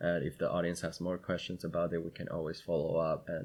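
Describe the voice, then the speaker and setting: The male speaker's pitch is very deep and low. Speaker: podcast host. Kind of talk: casual chat. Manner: halting, stutters.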